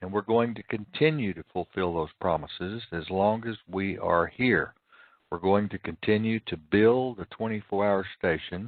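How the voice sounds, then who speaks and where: A man with an ordinary speaking voice, fairly low in pitch, with big swings in loudness. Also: ordinary pitch variation, moderate pace. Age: 60s. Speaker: internet radio host. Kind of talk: solo talk radio monologue. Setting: live internet radio broadcast.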